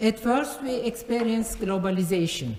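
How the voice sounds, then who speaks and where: Lively intonation marks a woman's speech. Her voice is somewhat breathy. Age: 70s. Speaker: art curator. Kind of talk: conference talk. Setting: conference forum. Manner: hesitant, with frequent fillers.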